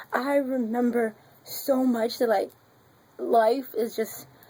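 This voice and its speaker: Loud, very slow speech from a woman with a high pitch and a dark, mellow tone. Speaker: vlogger. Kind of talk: casual vlog. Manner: animated.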